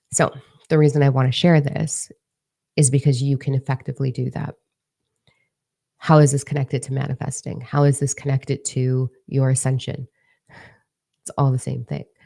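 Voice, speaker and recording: A woman with a very deep, low pitch speaks in a dark, mellow, somewhat breathy tone, her intonation monotone and flat. Long, frequent pauses break her speech, and the sound is dry and close with no echo. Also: moderate pace. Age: 30s. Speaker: spiritual coach. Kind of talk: casual spiritual talk to viewers.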